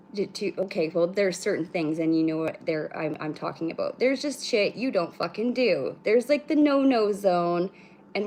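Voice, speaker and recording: A woman mumbles at a fairly quick pace in a medium pitch. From British Columbia, Canada. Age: 30s. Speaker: spiritual livestream host. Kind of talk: casual livestream chat. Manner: fast, no pauses; mumbling.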